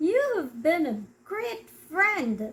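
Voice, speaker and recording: A woman adopts a put-on character voice that sits extremely high, her pitch leaping across a very wide range. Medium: read story.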